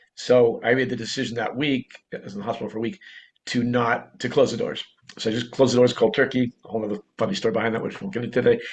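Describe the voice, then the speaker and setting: Talking at a very fast pace, a man with a Boston accent has a medium pitch. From Boston, US. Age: 60s. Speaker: entrepreneur. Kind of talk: interview storytelling.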